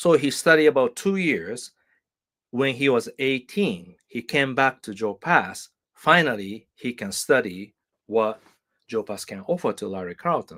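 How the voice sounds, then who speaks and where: On a very clean recording with a silent background and a dry, close sound with no echo, a man with a Japanese accent speaks at a fairly slow pace at medium pitch, his bright, sharp tone moving through very wide pitch swings. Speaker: guitar teacher. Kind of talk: live stream chat. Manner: halting, many fillers.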